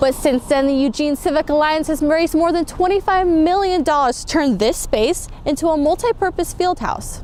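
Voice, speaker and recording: A woman speaks at an extremely high pitch with ordinary variation and a moderate pace. Her loudness stays very even, and background noise is noticeable. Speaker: news reporter. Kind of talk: TV news report.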